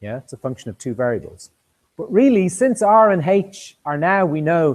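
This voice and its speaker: A man with an Irish accent and a high pitch talks at a moderate pace, his voice making very wide pitch swings and big swings in loudness. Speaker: university lecturer. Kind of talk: lecture. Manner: halting, with many repetitions and fillers.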